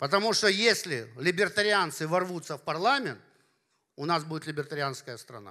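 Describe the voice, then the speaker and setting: Projecting his raised voice, a man speaks with a bright, sharp tone. His intonation is lively, and the background is quiet. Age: 50s. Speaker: party leader and business philosopher; speaker. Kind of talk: conference talk. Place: hall. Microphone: handheld.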